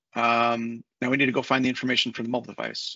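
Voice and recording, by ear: At a fast pace, a man with medium pitch talks in a bright, sharp tone with vocal fry and a slightly husky edge.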